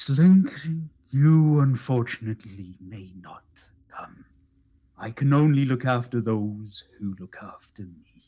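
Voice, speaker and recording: A man puts on a character voice at medium pitch, delivered at a fairly slow pace. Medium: actual play.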